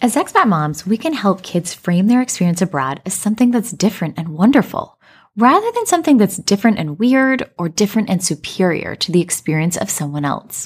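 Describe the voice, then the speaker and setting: At a fairly quick pace, a woman with a General American accent uses a medium pitch with very wide pitch swings and sounds somewhat breathy on a very clean recording with a silent background. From Colorado, US. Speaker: podcast host and life coach. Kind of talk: scripted narration.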